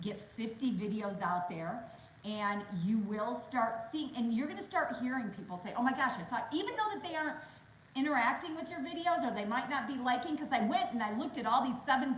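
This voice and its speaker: A woman speaks loudly and at a fairly quick pace, her high voice animated and swinging very widely in pitch. Room echo is audible. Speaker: real estate agent. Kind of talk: interview on a webinar.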